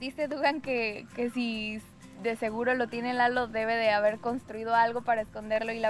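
Faint music sits in the background as a woman talks at a moderate pace in a monotone, flat intonation. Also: dry sound with no echo. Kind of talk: interview answer. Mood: amused, smiling. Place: forest.

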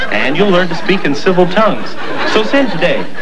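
A man talks at a fairly quick pace. Crowd noise can be heard behind him. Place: studio.

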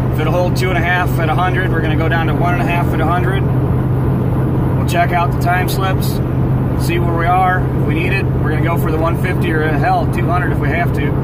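A man at a moderate pace, with a dry sound free of echo, over loud background noise. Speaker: vlogger. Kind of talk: casual vlog chat. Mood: excited, upbeat. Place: car. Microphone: phone near.

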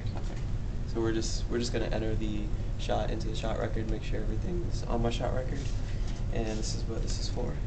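Speaking at a fairly quick pace with long, frequent pauses, a man is heard over loud background noise. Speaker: patient vlogger. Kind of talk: casual talk to camera. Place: hall. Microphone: phone near.

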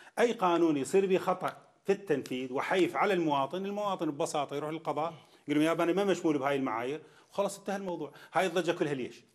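A man talks at a very fast pace and high pitch with an Iraqi accent. The background is quiet. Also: ordinary pitch variation. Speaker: TV talk show host. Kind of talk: political interview. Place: hall. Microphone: lapel.

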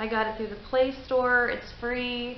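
At a fairly slow pace, a woman speaks in a high pitch. Light background noise and audible room echo surround her. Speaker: paranormal vlogger. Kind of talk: casual vlog chat. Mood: calm, winding down. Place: garage. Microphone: webcam.

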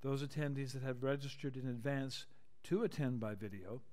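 A man talks with ordinary pitch variation at a moderate pace, and the background is quiet. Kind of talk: formal procedural announcement. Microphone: video call.

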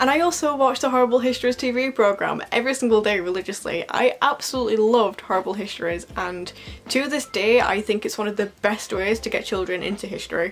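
With faint music in the background, a woman talks at a very fast pace with hardly any pauses and ordinary pitch variation. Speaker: book vlogger. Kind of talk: casual vlog chat. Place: home room. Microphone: phone near.

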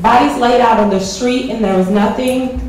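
Light background noise and audible room echo accompany a woman speaking. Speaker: poet. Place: hall.

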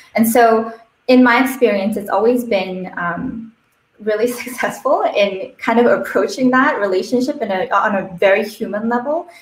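Audible room echo surrounds a woman's voice. She speaks at a moderate pace with a fairly high pitch. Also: ordinary pitch variation. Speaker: network engagement manager at a startup accelerator. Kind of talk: panel discussion, online AMA. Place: home room.

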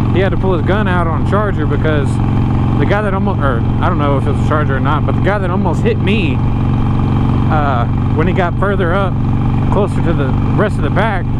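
Delivered at a fairly quick pace, the speech sounds dry with no echo, over loud background noise. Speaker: motorcycle vlogger. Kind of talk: casual vlog chat. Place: motorbike. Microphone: lapel.

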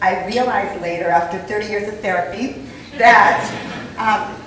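At a moderate pace, a woman speaks with ordinary pitch variation. Audible room echo and light background noise are present. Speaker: conference guest. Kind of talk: interview answer. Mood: earnest personal storytelling. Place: hall.

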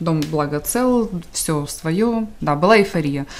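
The speaker is a woman. She varies her pitch in an ordinary way. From Donetsk, Ukraine. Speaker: displaced person and volunteer. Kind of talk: interview. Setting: studio. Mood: reflective, sometimes emotional. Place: studio.

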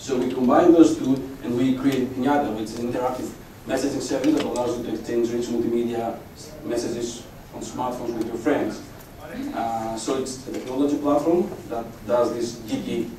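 Fairly quick, fairly even speech from a man, with light background noise and audible room echo. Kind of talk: conference talk. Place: hall.

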